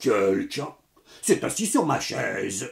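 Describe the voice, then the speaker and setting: A man does a raspy, gruff character voice, delivered at a fairly slow pace. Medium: read story.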